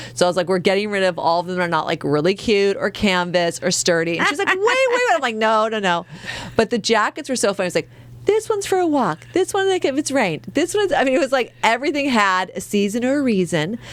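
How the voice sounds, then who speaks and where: Speaking at a very fast pace, a woman uses a fairly high pitch with very wide pitch swings. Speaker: comedy podcast co-host. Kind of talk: casual chat. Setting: podcast studio on camera. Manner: animated.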